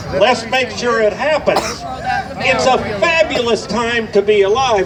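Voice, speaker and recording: A man speaks in a high pitch with lively intonation. Noticeable background noise runs behind him. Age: 70s. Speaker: activist attorney, speaker at a rally. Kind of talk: rally speech.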